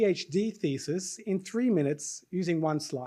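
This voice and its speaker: A man's high voice with an Australian accent and lively intonation, on a very clean recording with a silent background. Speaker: session host and faculty member. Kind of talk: live event hosting. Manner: animated.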